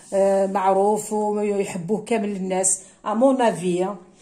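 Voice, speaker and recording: A woman with an Algerian accent speaks at a medium pitch, her tone dark and mellow. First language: Kabyle (speaking French). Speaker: cooking vlogger. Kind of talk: cooking tutorial. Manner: hesitant, many fillers.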